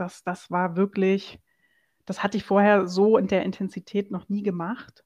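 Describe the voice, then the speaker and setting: A woman speaks at a medium pitch and a fairly slow pace. Her intonation is flat and monotone over a quiet background. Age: 40s. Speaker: entrepreneur. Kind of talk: interview.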